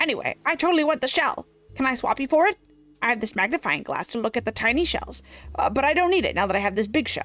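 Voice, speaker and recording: A high-pitched, put-on character voice rattles along at a very fast pace. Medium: virtual streamer. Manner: jumpy, defensive, blunt.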